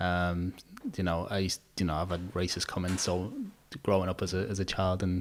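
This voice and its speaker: In a Liverpool accent, the speaker talks at a fairly quick pace with a monotone, flat intonation. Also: man. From Liverpool, England. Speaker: podcast host and barber. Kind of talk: podcast interview.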